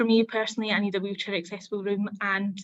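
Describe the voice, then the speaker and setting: Speaking very fast in a Scottish accent, a woman with a fairly high pitch keeps a monotone, flat intonation. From Scotland. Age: 20s. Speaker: apprentice. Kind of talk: testimony. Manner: hesitant, with filler words.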